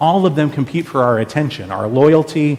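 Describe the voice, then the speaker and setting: A man with a normal speaking voice, a moderate pace and ordinary pitch variation. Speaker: pastor preaching a sermon. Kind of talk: church sermon.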